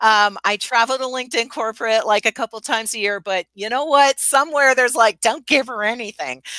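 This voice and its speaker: A woman's fairly high, bright and sharp voice with ordinary pitch variation, a fairly quick pace, hardly any pauses, and a dry, close sound free of echo. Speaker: LinkedIn expert and speaker. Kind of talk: live-streamed interview, business advice. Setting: live stream.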